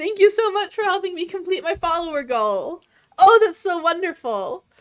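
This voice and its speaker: Extremely high in pitch, this woman's voice has lively intonation. She keeps a moderate pace. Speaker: streamer. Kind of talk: casual chat. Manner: relaxed.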